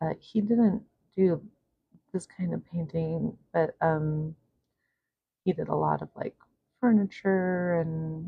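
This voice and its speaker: A woman speaks soft-spoken and somewhat breathy at a very slow pace, her voice fairly low with fairly even intonation. She leaves long, frequent pauses. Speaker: art vlogger. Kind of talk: casual painting vlog talk. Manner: soft-spoken, quiet.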